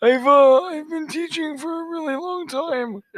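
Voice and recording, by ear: A man uses a put-on character voice with an extremely high pitch. He talks at a fairly slow pace.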